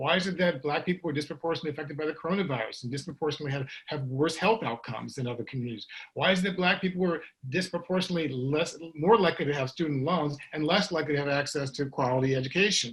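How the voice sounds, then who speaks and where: Over noticeable background noise, a man with a fairly high pitch and ordinary pitch variation speaks at a very fast pace with hardly any pauses. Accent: American. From US Midwest, St. Louis, Missouri. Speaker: author and guest speaker. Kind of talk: panel discussion. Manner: halting, many fillers and restarts.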